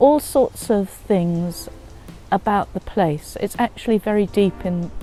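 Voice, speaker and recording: A woman's medium-pitched voice at a fairly slow pace, with music in the background. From England, North Essex. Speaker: interviewee. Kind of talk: interview.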